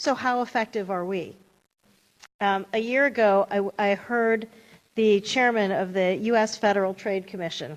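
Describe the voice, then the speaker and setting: With an American accent and a normal speaking voice, a woman talks at a medium pitch and a moderate pace with ordinary pitch variation. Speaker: privacy law panelist. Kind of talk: panel Q&A.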